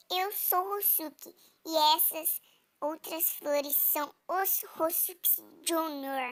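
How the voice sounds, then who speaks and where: A woman uses a put-on character voice with an extremely high pitch. She speaks at a very slow pace. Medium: read story.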